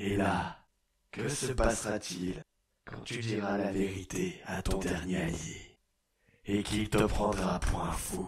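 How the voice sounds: A man puts on a character voice at a fairly low pitch. He moves at a fairly slow pace with long, frequent pauses.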